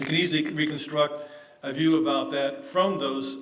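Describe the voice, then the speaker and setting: Fairly even intonation from a man with an American accent, with audible room echo and music in the background. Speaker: academic conference speaker. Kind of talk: conference paper presentation. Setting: conference session, seated. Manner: hesitant, many fillers; hurried.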